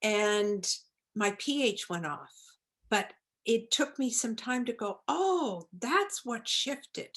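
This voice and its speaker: Over a quiet background, a woman with a Maritime Canadian accent talks very slowly at a fairly high pitch, her voice making very wide pitch swings. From Nova Scotia, Canada. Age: 70s. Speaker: holistic pharmacist. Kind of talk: interview.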